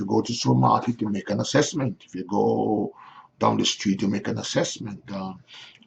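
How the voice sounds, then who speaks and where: A man talks fairly quickly, his loudness swinging widely, while noticeable noise sits in the background. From Caribbean. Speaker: pastor. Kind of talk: pastoral address. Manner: fast.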